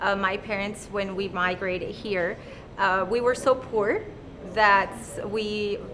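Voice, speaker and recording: A woman's medium-pitched voice at a very slow pace in a monotone, flat intonation, with audible room echo and noticeable background noise. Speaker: real estate agent. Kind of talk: interview. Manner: halting.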